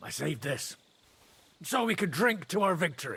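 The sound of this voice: A man puts on a character voice, fairly high-pitched with big pitch swings and vocal fry. His bright, sharp tone moves at a moderate pace.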